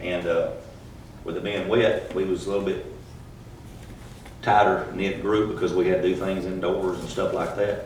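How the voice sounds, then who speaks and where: A man speaks with a Texas accent, taking long, frequent pauses. Noticeable background noise and audible room echo surround his voice. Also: moderate pace. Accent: Texas Southern US. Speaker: church camp counselor. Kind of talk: testimony. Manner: monotone.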